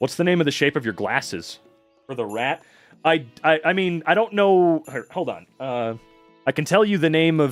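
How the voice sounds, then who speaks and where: Music plays behind a man with an American accent. He speaks at a moderate pace, with long, frequent pauses. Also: fairly high pitch for a man. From Washington state, United States. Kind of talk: casual.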